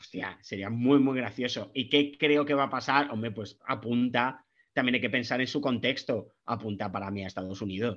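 A man in a normal speaking voice talks at a medium pitch and moderate pace, with ordinary pitch variation and hardly any pauses. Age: 40s. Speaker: football podcast guest, wine enthusiast. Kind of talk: casual chat.

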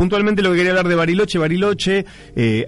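A man is heard over noticeable background noise. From Argentina, Santa Fe province (Empalme Lobos). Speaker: radio culture columnist. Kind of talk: casual radio chat.

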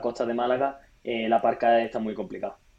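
A man with a medium pitch and an ordinary speaking voice. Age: 20s. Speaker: entrepreneur and former pro triathlete. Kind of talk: interview.

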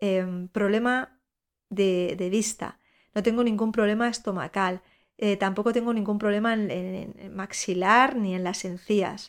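A woman speaks in a normal speaking voice at medium pitch and a fairly slow pace, her intonation fairly even, in a very clean recording with a silent background. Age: 40s. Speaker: podcast host and breast cancer patient. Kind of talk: personal monologue.

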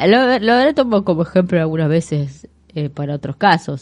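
At a moderate pace, a woman speaks in an unremarkable speaking voice with fairly low pitch. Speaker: radio co-host. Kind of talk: casual radio chat with read-out segments.

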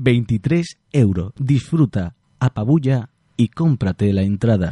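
Somewhat breathy male voice with a dark, mellow tone and ordinary pitch variation. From Andalusia, Huelva province. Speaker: carnival radio show host. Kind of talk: casual radio chat and interview.

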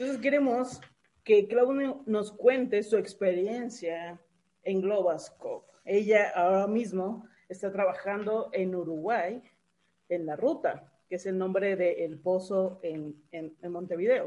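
Speaking at a very slow pace, a woman with a medium pitch and a dark, mellow tone shows ordinary pitch variation and big swings in loudness. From Mexico. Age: 30s. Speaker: podcast co-host. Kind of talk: interview.

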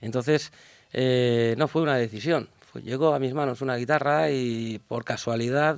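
A man talks fairly slowly in a medium pitch, his pitch varying in an ordinary way. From Valencia, Spain. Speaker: jazz musician. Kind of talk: radio interview. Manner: halting, many fillers.

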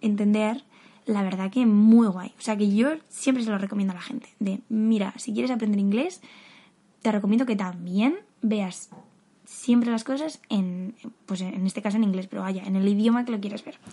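A woman with a fairly high pitch speaks in an animated tone over noticeable background noise. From Madrid, Spain. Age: 20s. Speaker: podcaster. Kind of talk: casual solo monologue. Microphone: new fairly professional microphone.

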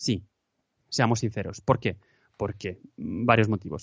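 A man talks at a moderate pace in a plain, everyday voice of medium pitch. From Spain, Madrid. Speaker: podcaster. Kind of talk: casual interview chat.

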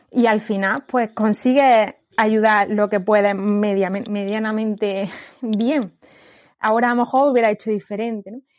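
In a plain, everyday voice, a woman speaks fairly slowly at a fairly high pitch with fairly even intonation, the background quiet. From Andalusia, Granada. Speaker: occupational therapist. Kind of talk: casual chat.

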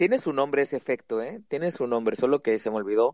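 Dry and close with no echo, a man's voice moves at a very fast pace. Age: 20s. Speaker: podcast host. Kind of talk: casual chat.

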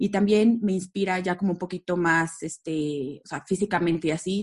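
Against a quiet background, a woman with an unremarkable speaking voice talks at a moderate pace, fairly low in pitch with fairly even intonation. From Mexico, Aguascalientes. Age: 30s. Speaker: event company co-founder. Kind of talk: casual interview.

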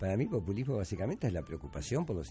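The speaker's pitch swings very widely at a very fast pace. The voice is somewhat breathy, with a dark, mellow tone. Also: man. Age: 70s. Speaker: radio host and journalist. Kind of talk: radio talk show. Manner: animated.

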